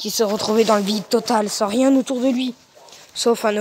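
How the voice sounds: This is a natural reading voice with fairly even intonation.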